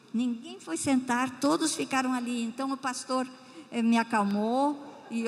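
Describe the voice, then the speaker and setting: Speaking at a very slow pace, a woman has a warm tone and fairly even intonation. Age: 80s+. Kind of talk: missionary testimony in church. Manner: warm, emotional, with hesitations.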